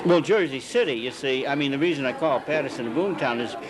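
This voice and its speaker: With crowd noise behind him, a man speaks very fast. His voice is fairly high in pitch, and his intonation is lively. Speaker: author.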